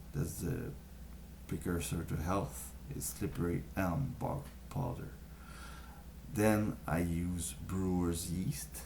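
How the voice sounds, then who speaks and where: A man with a French accent speaks very slowly, leaving long, frequent pauses, in audible room echo. His voice is very deep and low, dark and mellow, with vocal fry. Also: lively intonation. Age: young. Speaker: vlogger sharing health tips. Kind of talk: casual talk to camera. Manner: halting, many fillers.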